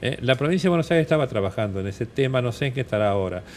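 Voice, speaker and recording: Lively intonation from a man at a medium pitch. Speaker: transplant surgeon, doctor. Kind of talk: TV interview. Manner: hesitant, many fillers.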